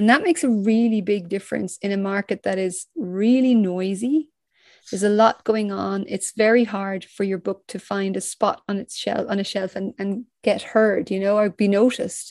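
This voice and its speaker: A woman's medium-pitched voice with an Irish accent, moderate pace and fairly even intonation, dry and close with no echo over a quiet background. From Ireland. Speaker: crime novelist. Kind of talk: interview.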